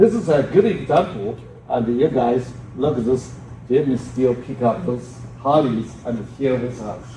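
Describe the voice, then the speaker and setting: Audible room echo around a man's voice, medium in pitch with ordinary variation. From China. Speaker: professor. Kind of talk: conference talk. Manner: loud.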